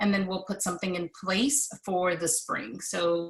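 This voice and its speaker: Over noticeable background noise, a woman talks at a moderate pace with a medium pitch and ordinary pitch variation. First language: Spanish. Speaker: gifted education association officer. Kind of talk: online meeting presentation.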